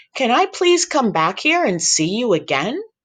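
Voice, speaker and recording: The put-on character voice has fairly high pitch and very wide pitch swings. It moves at a moderate pace against a quiet background. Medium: read story.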